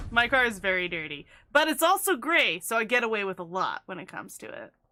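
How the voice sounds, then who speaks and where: Her voice is animated, bright and sharp, set at a fairly high pitch for a woman, with very wide pitch swings. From rural Canada. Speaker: gaming streamer. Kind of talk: casual live-stream chat.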